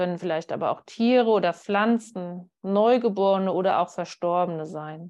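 With a plain, everyday voice, a woman speaks at medium pitch with ordinary pitch variation and hardly any pauses. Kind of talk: guided meditation. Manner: calm, slow, soothing guidance.

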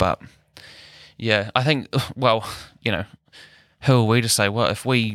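Here a man talks with a fairly low pitch at a moderate pace. The sound is dry and close, with no echo. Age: 20s. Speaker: musician and audio engineer. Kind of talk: casual chat.

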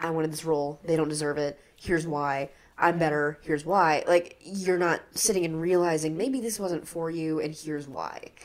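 A woman with a very deep, low pitch talks with ordinary pitch variation and hardly any pauses. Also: moderate pace. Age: 20s. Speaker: student actor and playwright. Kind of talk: casual interview chat.

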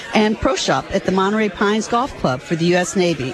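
Noticeable background noise sits behind the voice. This woman talks at a very fast pace. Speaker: local official presenting a resolution. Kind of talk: reading a proclamation and chatting. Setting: live event in a noisy room.

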